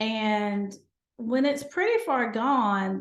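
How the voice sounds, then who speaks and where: Intonation is lively, delivered with a Southern US accent. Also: woman. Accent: Southern American. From North Carolina, USA. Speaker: gynecologist and lifestyle medicine physician. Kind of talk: podcast interview answer.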